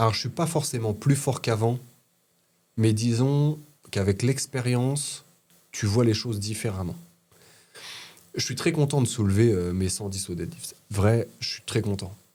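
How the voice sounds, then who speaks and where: On a very clean recording with a silent background, a man with a dark, mellow, somewhat breathy tone speaks at a medium pitch and a fairly slow pace, using ordinary pitch variation and long, frequent pauses. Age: 30s. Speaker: former heating tradesman recovering from spine fracture. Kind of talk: casual chat. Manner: halting.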